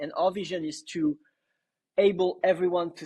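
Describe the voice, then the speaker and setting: A man talks with a French accent at a fairly high pitch. His intonation stays fairly even. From western France. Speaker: startup co-founder. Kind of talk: podcast interview. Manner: many filler words and restarts.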